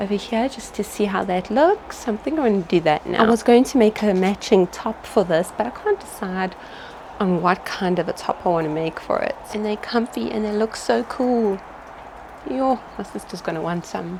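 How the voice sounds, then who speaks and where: Over noticeable background noise, a woman with a medium pitch talks with lively intonation. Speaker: small business owner and sewing vlogger. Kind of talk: casual vlog. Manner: animated; fast.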